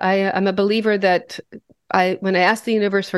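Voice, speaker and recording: A woman with an American accent, medium-pitched, at a moderate pace, an unremarkable speaking voice, quiet background. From US Midwest (western Nebraska). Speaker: podcast co-host. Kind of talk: casual chat.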